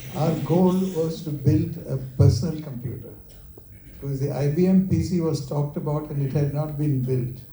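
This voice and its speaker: Audible room echo accompanies a man with a fairly high pitch, who speaks at a moderate pace with fairly even intonation. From India, Kerala. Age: 70s. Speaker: company founder. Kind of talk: talk with Q&A. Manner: halting.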